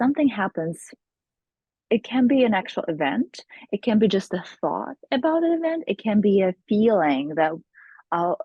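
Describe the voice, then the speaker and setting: With long, frequent pauses, a woman of medium pitch speaks at a moderate pace, her voice making very wide pitch swings. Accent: non-native. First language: not English. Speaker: hypnotherapist. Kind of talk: interview.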